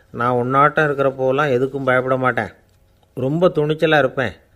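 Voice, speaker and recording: A man with an ordinary speaking voice, medium pitch and fairly even intonation. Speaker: Tamil orator and storyteller. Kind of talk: humorous story-telling talk. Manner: calm, witty, conversational.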